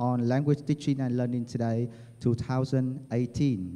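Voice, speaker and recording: The tone is dark and mellow. It carries a Vietnamese accent. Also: man. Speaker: university dean. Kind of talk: formal speech. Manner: formal. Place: hall. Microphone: handheld.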